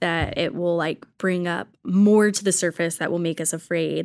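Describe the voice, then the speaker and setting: On a very clean recording with a silent background, a woman with an American accent uses a normal speaking voice, medium in pitch, at a moderate pace with fairly even intonation. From rural Texas. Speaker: church worker. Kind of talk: casual chat.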